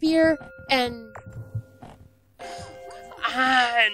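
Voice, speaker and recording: Music plays in the background as a woman speaks in a high voice. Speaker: gaming video creator. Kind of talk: let's play commentary. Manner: loud; animated.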